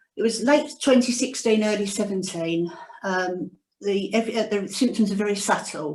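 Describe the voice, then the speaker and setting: Medium pitch from a woman, with ordinary pitch variation and a moderate pace. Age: 60s. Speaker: cancer survivor. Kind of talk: testimony. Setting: video call. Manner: reading from notes.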